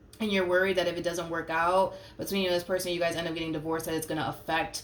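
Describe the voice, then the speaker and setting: A woman's voice with audible room echo. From Puerto Rico. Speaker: tarot reader. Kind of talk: tarot reading monologue. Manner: casual, many fillers and hesitations.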